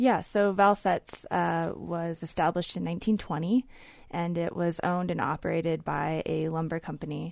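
With an American accent, a woman speaks at a moderate pace on a very clean recording with a silent background. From Oregon, Willamette Valley. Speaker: editorial fellow and writer. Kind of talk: casual interview. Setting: radio studio.

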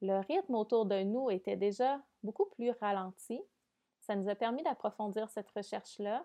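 A woman speaks at a fairly slow pace with a fairly high pitch. Her tone is dark and mellow, with ordinary pitch variation. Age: 30s. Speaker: podcast host. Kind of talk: casual monologue. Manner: hesitant, many fillers.

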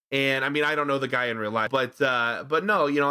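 A man at medium pitch with a bright, sharp tone, fairly quick pace and ordinary pitch variation, on a very clean recording with a silent background. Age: 30s. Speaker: film podcast co-host. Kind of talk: casual chat. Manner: animated.

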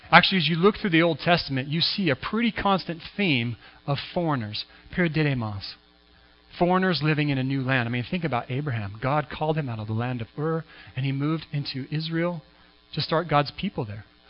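A man with a West Coast accent, fairly high pitch, lively intonation and a fairly quick pace. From US Pacific Northwest, Washington State. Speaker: pastor. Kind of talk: sermon. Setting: church.

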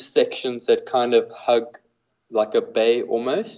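A man with a South African accent, medium in pitch, dark and mellow in tone, flat and monotone, at a very slow pace. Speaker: fly fishing guide. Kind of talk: casual interview chat. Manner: hesitant, filler-heavy, repeats words.

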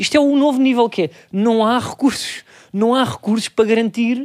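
Recorded very cleanly against a silent background, a man speaks. His pitch is extremely high, with ordinary variation. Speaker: comedian podcast host. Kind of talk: casual chat.

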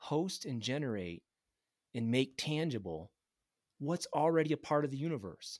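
With lively intonation and a fairly high pitch, a man talks at a moderate pace in a very clean recording with a silent background. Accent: Midwestern American. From Michigan (Grand Rapids). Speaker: geophysicist. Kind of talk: casual interview.

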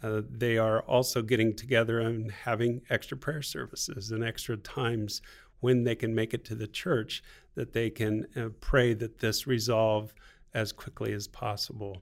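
A man speaks at a moderate pace in an American accent, with medium pitch and fairly even intonation. It is an ordinary speaking voice on a very clean recording with a silent background. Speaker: missionary at hospital.

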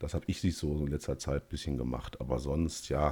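A man's dark, mellow tone with ordinary pitch variation on a very clean recording with a silent background. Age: 30s. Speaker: gaming podcast host. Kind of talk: casual chat. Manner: halting, repeats words.

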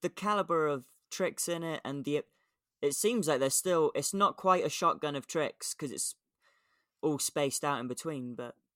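With an English accent, a man speaks in a fairly high voice with lively intonation, recorded dry and close with no echo against a silent background in a very clean recording. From England. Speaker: skateboarding podcast co-host. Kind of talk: casual chat.

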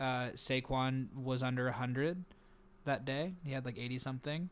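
This man talks at a moderate pace in a medium pitch. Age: 30s. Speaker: football podcast co-host. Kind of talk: casual chat. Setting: hotel room, remote recording. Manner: animated.

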